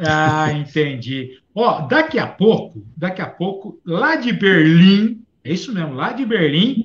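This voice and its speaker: Very slow yet with hardly any pauses, a man's high-pitched voice moves through very wide pitch swings. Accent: interior São Paulo. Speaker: live show co-host. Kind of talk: live stream chat.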